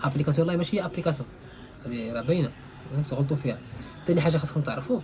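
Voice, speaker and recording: Music plays in the background. A man speaks at a fairly high pitch with ordinary pitch variation. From Morocco. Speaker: IT instructor. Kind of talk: casual tech tutorial.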